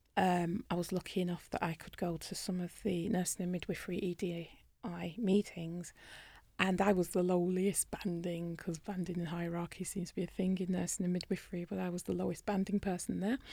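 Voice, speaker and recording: In a British accent, a woman speaks fairly quickly at a fairly low pitch, somewhat breathy and monotone, with flat intonation. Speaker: dentist. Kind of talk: interview.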